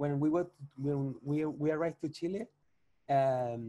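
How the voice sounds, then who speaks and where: A man's fairly high, dark, mellow voice with a Spanish accent, at a fairly slow pace with ordinary pitch variation. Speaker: chef and social food entrepreneur. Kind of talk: podcast interview. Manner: halting, with many repetitions.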